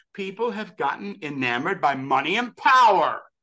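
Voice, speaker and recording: A man's raised, projected voice in a New York accent, high in pitch with very wide pitch swings, a bright, sharp tone and a moderate pace. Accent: American (New York). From US Northeast (western New York). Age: 60s. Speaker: actor and author, religious devotee. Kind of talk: interview. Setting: podcast interview. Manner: animated; halting.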